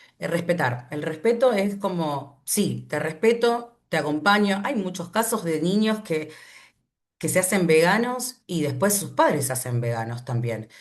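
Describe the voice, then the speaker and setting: Speaking fairly slowly with an Argentine accent, a woman uses a fairly low pitch and very wide pitch swings. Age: 40s. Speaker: animal rights activist. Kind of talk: online class talk.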